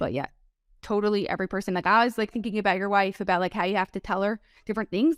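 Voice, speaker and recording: A woman with an American accent at a very fast pace, medium in pitch, with fairly even intonation. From New Jersey. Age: 20s. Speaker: productivity coach. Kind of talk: interview. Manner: casual, filler-heavy.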